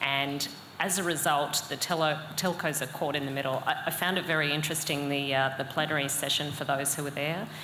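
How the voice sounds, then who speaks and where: Amid noticeable background noise and audible room echo, a woman with an Australian accent speaks fairly quickly with a very deep, low pitch and fairly even intonation. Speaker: cybersecurity consultant. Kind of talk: panel discussion. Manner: hesitant, many fillers.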